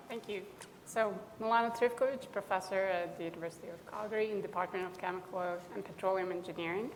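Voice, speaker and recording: Amid noticeable background noise and audible room echo, a woman speaks at a very fast pace in a medium pitch with fairly even intonation. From Bosnia. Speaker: engineering professor, panelist. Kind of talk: panel discussion.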